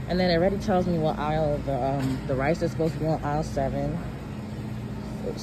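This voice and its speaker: The voice moves at a very fast pace. Loud background noise fills the clip. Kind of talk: casual vlog chat. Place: shop. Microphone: phone near.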